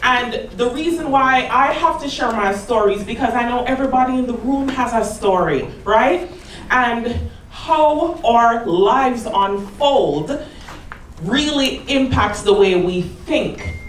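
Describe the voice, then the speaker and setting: A woman with a Jamaican accent, high in pitch, with lively intonation at a fairly slow pace, amid noticeable background noise and audible room echo. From Jamaica, Kingston. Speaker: motivational speaker and teacher. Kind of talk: motivational talk. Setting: stage with audience.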